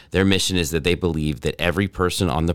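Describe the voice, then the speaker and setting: A man with a very deep, low pitch, vocal fry and an American accent is heard in a very clean recording with a silent background. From North Texas. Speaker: entrepreneur, startup accelerator director. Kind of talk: podcast interview.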